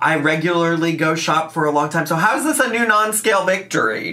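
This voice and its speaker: Here is a man with a high pitch and an animated tone. He moves at a fairly quick pace. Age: 30s. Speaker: YouTube reaction creator; youtuber. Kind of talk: reaction commentary. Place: home room.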